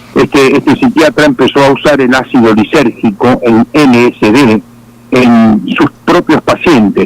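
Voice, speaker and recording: A man's fairly high pitch with ordinary pitch variation at a fairly slow pace. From Argentina. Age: 60s. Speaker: pastor. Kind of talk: testimony. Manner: halting.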